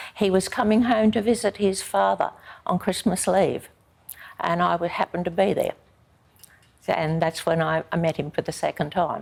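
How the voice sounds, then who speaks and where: Speaking in an Australian accent with vocal fry, a woman uses a fairly low pitch, ordinary pitch variation and a moderate pace, with long, frequent pauses in a very clean recording against a silent background. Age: 80s+. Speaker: army wife telling her life story. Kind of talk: interview testimony. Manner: halting, many fillers.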